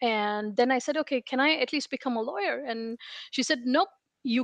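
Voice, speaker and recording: The woman's pitch is high, with ordinary variation, and her pace is moderate. The sound is dry and close with no echo. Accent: Indian. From India (Hyderabad). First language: Telugu. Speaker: information security leader. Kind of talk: interview.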